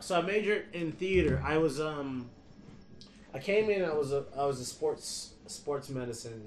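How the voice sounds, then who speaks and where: With an American accent, a man speaks with very wide pitch swings and big swings in loudness. The room echo is audible. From US Midwest, Detroit. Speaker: stand-up comedian. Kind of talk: casual chat.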